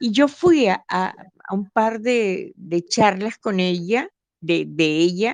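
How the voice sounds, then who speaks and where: A woman's voice with ordinary pitch variation, dry and close with no echo. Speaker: listener calling in. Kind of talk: casual chat. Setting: online live call, audio only.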